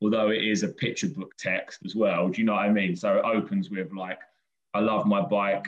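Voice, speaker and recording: A man with a southern English accent, talking at a moderate pace. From southern England, Brighton. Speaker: children's poet. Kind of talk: interview. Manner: casual, hesitant.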